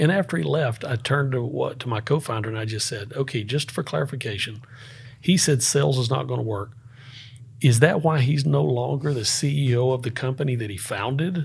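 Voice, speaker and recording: A man's medium-pitched voice in a Southern US accent, fairly quick, with ordinary pitch variation. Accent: Southern US (Georgia). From US South, Northeast Georgia (Appalachia). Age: 50s. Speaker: entrepreneur and former Marine. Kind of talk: casual interview conversation.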